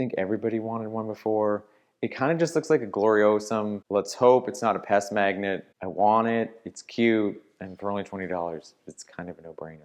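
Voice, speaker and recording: With hardly any pauses, a man speaks at a fairly quick pace in a fairly low pitch, showing ordinary pitch variation and big swings in loudness. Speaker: plant vlogger. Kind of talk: casual vlog monologue. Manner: fast; animated.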